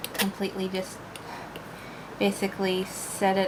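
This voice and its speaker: A soft-spoken woman with a medium pitch talks over noticeable background noise. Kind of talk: soft-spoken ASMR painting ramble. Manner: rambling, casual.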